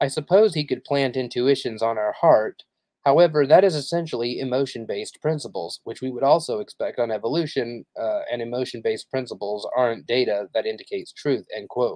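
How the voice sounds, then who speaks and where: An unremarkable speaking voice with ordinary pitch variation. It runs on with hardly any pauses. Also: man, medium pitch for a man. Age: 30s. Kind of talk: casual livestream monologue; reading aloud. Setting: live stream.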